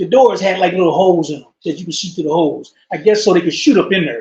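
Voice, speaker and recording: The man speaks with lively intonation. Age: 60s. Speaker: former prisoner. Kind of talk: interview. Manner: halting.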